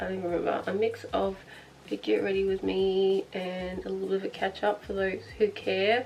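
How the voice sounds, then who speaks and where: A woman with an Australian accent, medium pitch, a fairly quick pace and noticeable background noise. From Australia (Victoria). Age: 20s. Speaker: beauty vlogger. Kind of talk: casual chat while doing makeup. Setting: bedroom. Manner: fast, chatty.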